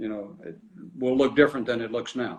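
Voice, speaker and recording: A man talks with a Tennessee accent. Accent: Southern US (Tennessee). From US South, small-town West Tennessee. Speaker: mayor. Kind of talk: casual interview.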